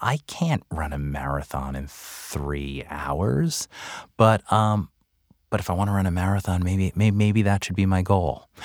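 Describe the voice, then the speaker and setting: Very deep and low, this man's voice carries an American accent and lively intonation at a fairly slow pace. The recording is very clean with a silent background, and the sound is dry and close with no echo. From Long Island, New York. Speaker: author and former marketer. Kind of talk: casual interview chat. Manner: animated, humorous.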